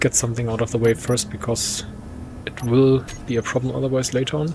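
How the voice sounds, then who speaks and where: A man with a German accent speaks at medium pitch with fairly even intonation. Noticeable background noise runs beneath him. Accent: non-native English, German. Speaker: gaming let's play creator. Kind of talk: gameplay commentary. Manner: casual, some self-corrections.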